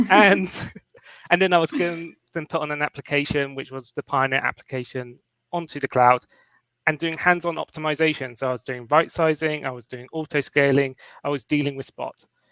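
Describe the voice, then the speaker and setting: With a London accent, a bright, sharp voice moves at a fairly quick pace with fairly even intonation, in a dry, close sound with no echo. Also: man, fairly high pitch for a man. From London, England. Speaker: cloud cost consultant. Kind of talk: interview.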